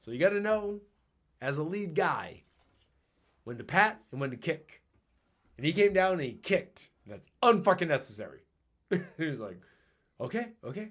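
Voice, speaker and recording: His voice is high for a man, with very wide pitch swings and big swings in loudness. He keeps a moderate pace and takes long, frequent pauses. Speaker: podcast host. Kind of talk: casual chat. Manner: varied pitch.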